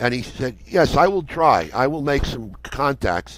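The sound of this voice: Lively intonation colors a man's medium-pitched speech at a fairly slow pace.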